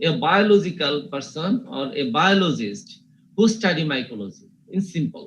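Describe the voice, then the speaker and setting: Audible room echo surrounds a man with a Bengali accent who speaks at a high pitch and a fairly slow pace. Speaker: university teacher. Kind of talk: lecture. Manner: slow, repetitive.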